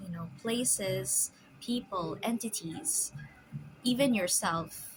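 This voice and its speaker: Speaking at a very slow pace, a woman uses lively intonation in a somewhat breathy voice. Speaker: spiritual commentator. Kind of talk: casual spiritual musing to camera. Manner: halting, stammering, stop-start.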